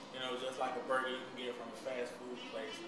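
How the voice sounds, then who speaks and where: A man is heard with audible room echo and loud background noise. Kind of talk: interview answer. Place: kitchen.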